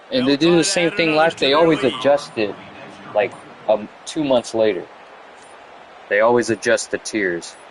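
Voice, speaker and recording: A man's medium-pitched voice with lively intonation, at a moderate pace with long, frequent pauses, over noticeable background noise. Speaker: video game streamer. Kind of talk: casual gameplay chatter.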